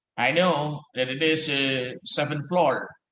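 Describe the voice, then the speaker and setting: In a room with audible echo, a man with an American accent and a bright, sharp tone speaks at a very slow pace with fairly even intonation. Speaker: law professor. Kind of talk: lecture. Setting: office. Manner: halting.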